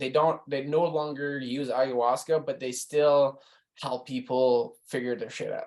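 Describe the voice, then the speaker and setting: A man speaks at a fairly slow pace in a normal speaking voice, with fairly high pitch and fairly even intonation. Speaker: photographer and calendar creator, podcast guest. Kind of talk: podcast interview, casual storytelling.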